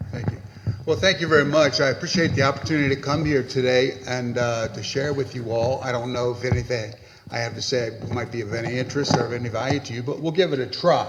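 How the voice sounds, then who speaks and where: A very fast-talking man, medium in pitch with ordinary pitch variation, amid noticeable background noise. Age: 70s. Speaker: pastor. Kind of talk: panel talk. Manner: halting.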